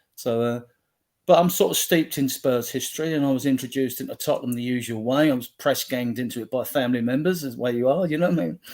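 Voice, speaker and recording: A man rattles along at a very fast pace, his medium pitch showing ordinary variation. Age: 60s. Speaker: football fan group admin. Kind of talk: casual chat.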